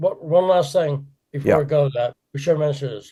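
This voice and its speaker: Somewhat breathy, with a dark, mellow tone, the voice moves at a fairly quick pace with fairly even intonation. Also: man, fairly high pitch for a man. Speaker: podcast guest.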